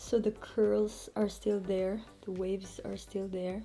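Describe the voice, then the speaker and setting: Music plays in the background as a woman speaks. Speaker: hair care vlogger. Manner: casual, demonstrative.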